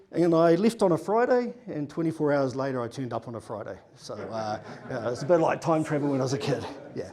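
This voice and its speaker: A man with a New Zealand accent and a fairly high pitch, talking at a very fast pace with very wide pitch swings over noticeable background noise. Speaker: conference speaker, data consultant. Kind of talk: conference talk. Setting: stage with audience. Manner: casual, many fillers.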